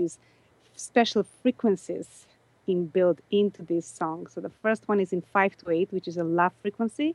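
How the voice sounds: At a moderate pace, a woman speaks in a fairly low pitch with fairly even intonation and a slightly mellow tone, the sound dry and close with no echo.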